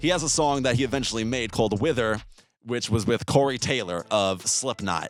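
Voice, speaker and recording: Over music in the background, a man with an American accent talks at a medium pitch and a fairly quick pace, with ordinary pitch variation. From US Northeast. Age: 20s. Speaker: musician. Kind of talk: interview answers, casual. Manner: casual, filler-heavy.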